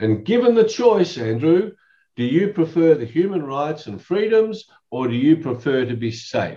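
Speaking at a moderate pace, a man with a fairly high pitch makes very wide pitch swings. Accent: Australian. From Australia. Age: 60s. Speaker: lawyer and professional speaker. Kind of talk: casual chat.

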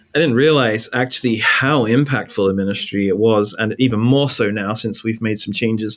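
This man speaks with an English accent. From England. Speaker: pastor. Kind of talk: interview conversation. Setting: call. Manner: conversational.

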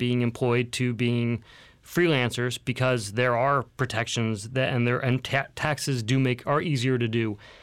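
Recorded very cleanly over a silent background, a plain, everyday voice moves at a moderate pace with fairly even intonation. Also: man. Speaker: guest co-host. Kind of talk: casual banter, business podcast. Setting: studio.

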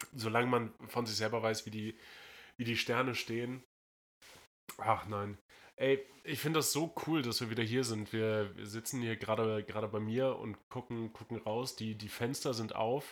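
Here a man of medium pitch talks at a fairly slow pace with fairly even intonation. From northern Germany. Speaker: podcast host. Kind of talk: casual chat. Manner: halting.

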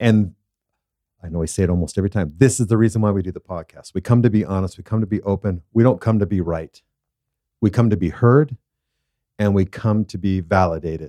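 A man with a dark, mellow tone and a fairly low pitch talks at a very fast pace, leaving long, frequent pauses and using ordinary pitch variation. The recording is very clean with a silent background and a dry, close sound with no echo. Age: 50s. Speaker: podcast co-host and father. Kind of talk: casual chat.

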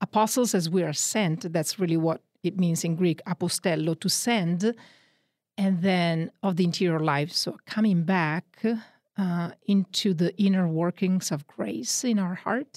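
A Northern Italian accent at a fairly slow pace, with very even loudness and ordinary pitch variation, in a very clean recording with a silent background and a dry, close sound with no echo. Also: woman, fairly low pitch for a woman. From Northern Italy. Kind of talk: radio interview on spiritual teaching. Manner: animated.

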